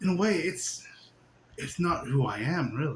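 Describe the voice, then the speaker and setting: Audible room echo surrounds a man's voice. It is high, with lively intonation. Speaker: spiritual teacher. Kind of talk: casual spiritual monologue. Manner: animated, giggly.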